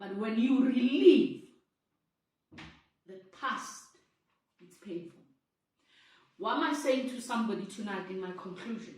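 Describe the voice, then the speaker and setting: A woman speaks at a fairly slow pace in a fairly high pitch, with lively intonation, big swings in loudness, long, frequent pauses and audible room echo. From South Africa. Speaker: vlogger sharing personal story. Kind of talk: personal testimony.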